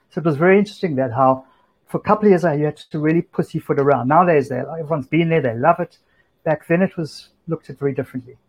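A fairly high-pitched man with a South African accent, talking at a very fast pace. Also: ordinary pitch variation. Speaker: music supervisor, DJ and tech startup founder. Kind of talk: casual interview. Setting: remote call from home.

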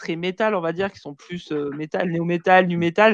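A woman's fairly slow, fairly evenly intoned speech, dry and close with no echo. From southern France, Marseille and Vaucluse. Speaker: metal web show host. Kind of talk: casual live-stream chat. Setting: online live stream with remote guests.

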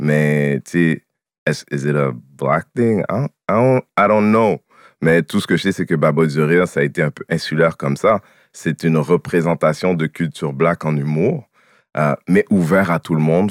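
In a dry, close recording with no echo, a man talks at a fairly slow pace in a very deep, low voice. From Quebec, Haitian family. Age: 40s. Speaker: comedian. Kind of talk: casual chat.

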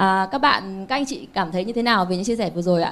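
A woman with an unremarkable speaking voice and ordinary pitch variation. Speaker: event moderator. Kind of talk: formal moderation. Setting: stage with audience.

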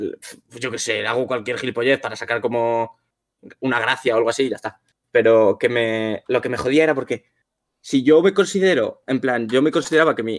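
In a dry, close recording with no echo, a man with an unremarkable speaking voice talks fairly quickly at a medium pitch with ordinary pitch variation. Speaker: content creator, streamer. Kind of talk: casual chat on a livestream.

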